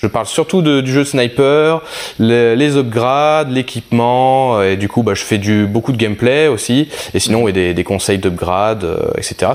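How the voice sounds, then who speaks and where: A man with a medium pitch talks at a moderate pace, using ordinary pitch variation. Noticeable background noise runs behind him. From southeastern France. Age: 30s. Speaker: airsoft sniper and youtuber. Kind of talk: casual interview chat. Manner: hesitant, many fillers.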